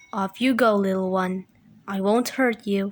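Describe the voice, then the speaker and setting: A woman puts on a character voice, keeping a medium pitch and moving at a moderate pace. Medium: read story.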